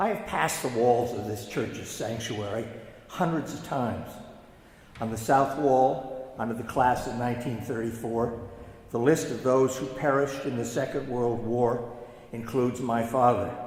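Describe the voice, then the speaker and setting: A man talks at a moderate pace with a medium pitch and fairly even intonation. Noticeable background noise and audible room echo fill the recording. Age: 80s+. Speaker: Harvard alumnus and son of war casualty. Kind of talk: memorial speech. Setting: church.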